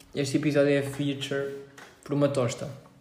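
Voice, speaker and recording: A man's fairly high-pitched, somewhat breathy voice, dark and mellow in tone, with audible room echo. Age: 20s. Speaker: podcast co-host. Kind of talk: casual chat.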